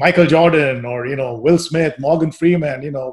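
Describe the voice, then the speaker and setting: A man with a somewhat breathy, fairly high voice talks at a moderate pace, his pitch varying in an ordinary way. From India. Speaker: podcast host. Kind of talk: casual interview conversation. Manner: halting with repetitions.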